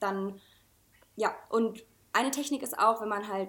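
On a very clean recording with a silent background, a woman with an unremarkable speaking voice talks at a moderate pace and a fairly high pitch. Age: 20s. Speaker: junior art director. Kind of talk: casual chat.

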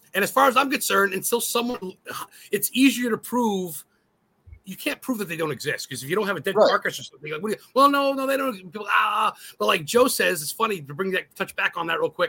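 A high-pitched man speaks in a raised, projected voice at a very fast pace, his tone bright, sharp and animated. His intonation is lively, and the sound is dry and close with no echo. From New England. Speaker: guest co-host, ghost hunter YouTuber. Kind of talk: casual chat.

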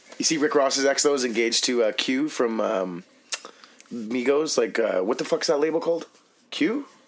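The voice has lively intonation and a moderate pace. There is noticeable background noise. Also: man, fairly high pitch for a man. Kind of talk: casual chat. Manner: profanity-heavy, laughing.

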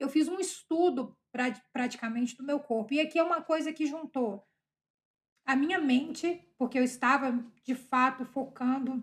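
Her pitch is high, with ordinary pitch variation. The woman talks at a fairly slow pace. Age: 30s. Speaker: podcast host, mother. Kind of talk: casual monologue.

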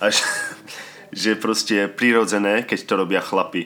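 A man speaks with monotone, flat intonation. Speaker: podcast host. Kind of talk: casual monologue. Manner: nervous.

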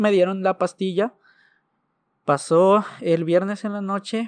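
Very slow speech from a high-pitched man against a quiet background. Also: dry, close sound with no echo. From Mexico, Ciudad Juárez, Chihuahua. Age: 20s. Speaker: churchgoer sharing a faith story. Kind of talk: testimony.

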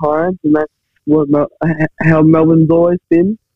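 Fairly even in intonation, a man with an Australian accent speaks at a fairly high pitch. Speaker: co-host. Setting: phone call.

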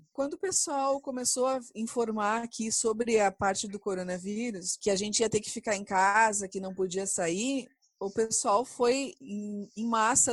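Speaking at a fairly slow pace, a woman has a fairly high voice. It sounds somewhat breathy. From Brazil. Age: 40s. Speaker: chemical engineer. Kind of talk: interview testimony.

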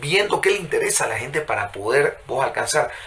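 A man keeps a moderate pace while noticeable background noise runs behind him. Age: 40s. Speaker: journalist and lawyer. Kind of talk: interview conversation. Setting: studio. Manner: animated.

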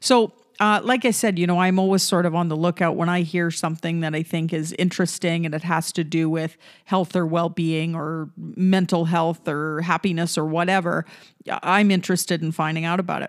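The intonation stays fairly even. It is a very clean recording with a silent background. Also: woman, fairly low pitch for a woman. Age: 40s. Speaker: podcast host. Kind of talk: solo podcast monologue. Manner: frequent fillers and hesitations.

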